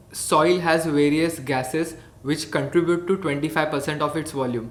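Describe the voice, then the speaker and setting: With audible room echo and noticeable background noise, a man speaks at a fairly high pitch in a Marathi Indian accent. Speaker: hydroponics educator. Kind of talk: educational tutorial.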